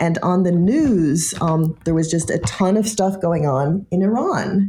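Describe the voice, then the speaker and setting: A woman speaks with a fairly low pitch and a dark, mellow tone. Her voice is somewhat breathy. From US, army family, several places. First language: French. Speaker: political science professor. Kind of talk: interview. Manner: animated.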